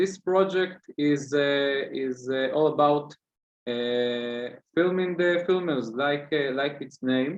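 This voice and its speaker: This man speaks with an Israeli accent at a very slow pace. His voice is fairly high, with ordinary pitch variation. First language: Hebrew. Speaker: student activist. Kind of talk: interview. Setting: video call. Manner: halting, many fillers.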